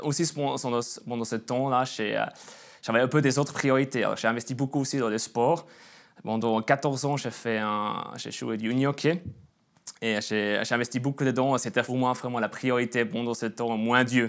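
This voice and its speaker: A man with a slight Swiss German accent, medium pitch, fairly even intonation and moderate pace, on a very clean recording with a silent background. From Swiss German region (Bern, Emmental). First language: Swiss German (speaking French). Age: 20s. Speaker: churchgoer giving testimony, sales worker. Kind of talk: testimony. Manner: halting, many hesitations.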